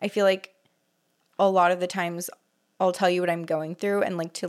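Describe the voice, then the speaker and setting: In an American accent, a woman speaks at a medium pitch with fairly even intonation. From California. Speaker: podcast co-host, wardrobe stylist. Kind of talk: casual chat. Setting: home room used as studio.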